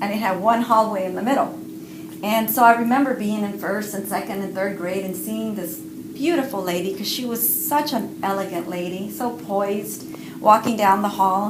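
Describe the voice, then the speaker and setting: Audible room echo and noticeable background noise fill the recording. A woman speaks at a moderate pace. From Cuba. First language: Spanish. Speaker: writer and parent educator. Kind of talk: interview.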